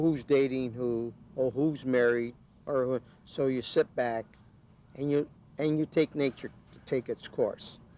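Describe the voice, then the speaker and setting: A man speaks at a fairly slow pace with a Midwestern US accent. His intonation stays fairly even. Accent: US Midwest. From Ohio, Canton. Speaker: retired ballroom dancer. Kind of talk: documentary interview. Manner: halting.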